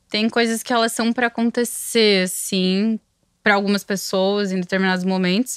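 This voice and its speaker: Speech at a moderate pace in a monotone, flat intonation with very even loudness, recorded with a dry sound with no echo against a quiet background. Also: woman. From Santa Catarina, Brazil (Blumenau region); Santa Catarina, Brazil. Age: 30s. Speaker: music marketing agency co-founder; interview guest. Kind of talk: interview. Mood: reflective, calm. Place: studio. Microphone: studio mic.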